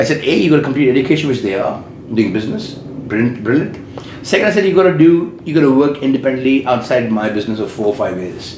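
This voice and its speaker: A man with an Indian accent, lively intonation and a very fast pace, amid noticeable background noise and audible room echo. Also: medium pitch for a man. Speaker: business owner. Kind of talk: interview. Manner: loud.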